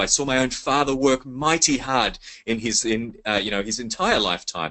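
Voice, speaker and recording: Speaking fairly quickly, a man uses a medium pitch and an Australian accent. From Sydney, Australia. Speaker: network marketing leader. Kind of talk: sales pitch webinar. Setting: conference call. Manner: animated.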